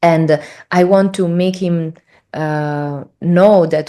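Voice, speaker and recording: A woman speaks in an Italian accent with a fairly low pitch. Her tone is dark and mellow, her intonation fairly even. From Italy. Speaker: spiritual traveler. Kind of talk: interview storytelling. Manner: halting, many fillers.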